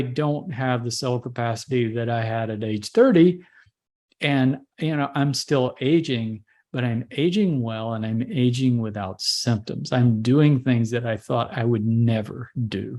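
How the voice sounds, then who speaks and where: Against a quiet background, a man talks fairly slowly in an ordinary speaking voice, with medium pitch and ordinary pitch variation. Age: 60s. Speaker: holistic doctor. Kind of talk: interview.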